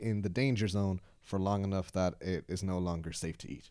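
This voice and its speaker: This is a man's voice. He has a Dublin accent. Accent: Irish (Dublin). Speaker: podcast host, improv performer. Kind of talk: casual comedy chat.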